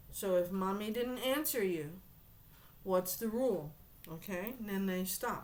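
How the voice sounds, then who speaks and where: Amid audible room echo, a woman speaks at a medium pitch in an animated tone, fairly slowly and with ordinary pitch variation, leaving long, frequent pauses. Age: 50s. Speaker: tarot card reader. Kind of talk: tarot reading monologue.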